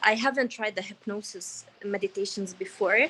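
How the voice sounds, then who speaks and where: A woman speaks with an Arabic accent. Her pace is moderate. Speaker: workshop participant, freelancer in beauty and digital content. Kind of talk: casual sharing in online group coaching. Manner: hesitant, many fillers.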